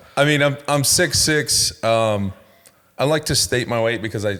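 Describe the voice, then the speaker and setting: A man with an unremarkable speaking voice talks at a medium pitch and moderate pace, with ordinary pitch variation. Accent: American. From Ohio, Cincinnati area. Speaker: podcast co-host, former college football player. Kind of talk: casual chat.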